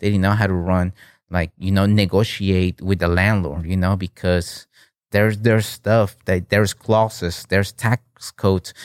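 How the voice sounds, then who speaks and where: A man's very deep, low voice at a moderate pace, in a very clean recording with a silent background and a dry, close sound with no echo. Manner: animated.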